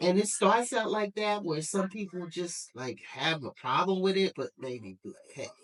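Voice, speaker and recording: Hardly pausing at all, a woman in a normal speaking voice talks at a moderate pace and medium pitch, with lively intonation and big swings in loudness. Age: 60s. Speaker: retired mail carrier. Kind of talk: interview answer.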